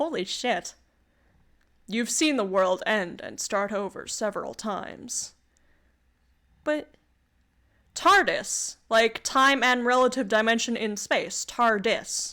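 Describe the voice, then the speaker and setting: With a Canadian accent and a bright, sharp tone, the speaker moves at a very slow pace, leaving long, frequent pauses and using ordinary pitch variation. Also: woman, fairly high pitch for a woman, very clean recording, silent background. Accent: Canadian, North American, clear. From Canada. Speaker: VTuber streamer. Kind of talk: reading aloud an AI text adventure with commentary. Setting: live stream. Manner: casual, stammering at times.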